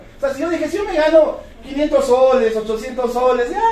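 A man's voice comes through at an extremely high pitch and a fairly slow pace. There is audible room echo along with noticeable background noise. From Peru, Cusco. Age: 30s. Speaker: network marketing distributor. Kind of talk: motivational talk. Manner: animated.

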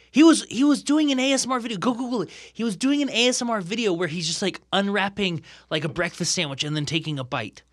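Very fast and high-pitched, a man talks with an American accent and very wide pitch swings. The recording is very clean, with a silent background. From Ohio, US Midwest. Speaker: podcast guest. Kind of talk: casual chat. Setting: studio. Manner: long-winded.

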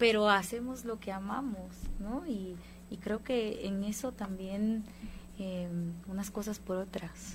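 The voice is somewhat breathy, moving at a very slow pace with long, frequent pauses and fairly even intonation. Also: woman, medium pitch for a woman. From Guatemala. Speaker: band musician. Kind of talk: casual interview.

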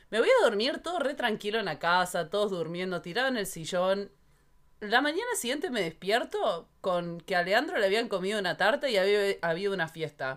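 Against noticeable background noise, a woman speaks at a fairly quick pace in a medium pitch with lively intonation. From Argentina. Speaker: podcast co-host. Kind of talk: casual chat.

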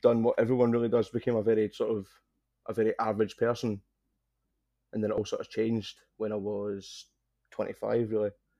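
Over a quiet background, a man with a strong Scottish accent and a dark, mellow tone talks at a fairly quick pace and medium pitch, leaving long, frequent pauses. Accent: thick Scottish. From Scotland. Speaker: triathlete and cancer survivor. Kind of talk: casual interview. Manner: nervous, enunciating carefully.

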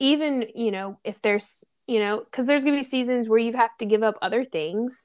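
A woman with a Southern US accent speaks at a fairly quick pace in a fairly high pitch, with ordinary pitch variation, on a very clean recording with a silent background. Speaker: podcast host. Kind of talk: casual chat.

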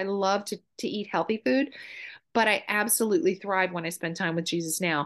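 A woman's normal speaking voice at a fairly quick pace, ordinary pitch variation, quiet background. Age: 50s. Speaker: mother and realtor. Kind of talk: casual chat.

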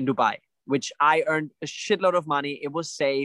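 A man speaks at a moderate pace in a bright, sharp tone. The sound is dry and close, with no echo. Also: very clean recording, silent background. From Germany. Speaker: life coach and personal trainer. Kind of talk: casual interview.

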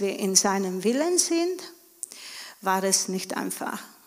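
A woman talks very slowly while noticeable noise runs in the background. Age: 40s. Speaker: stay-at-home mother of a large family. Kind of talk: church interview testimony.

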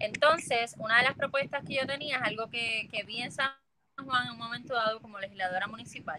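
With an unremarkable speaking voice, a woman talks at a fairly quick pace, her pitch fairly high with ordinary variation. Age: 30s. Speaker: political candidate. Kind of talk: interview.

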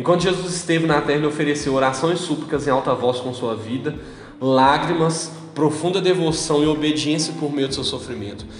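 Amid noticeable background noise and audible room echo, a man speaks at a moderate pace in a fairly high voice with ordinary pitch variation. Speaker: podcast host. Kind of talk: casual chat. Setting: parents' house.

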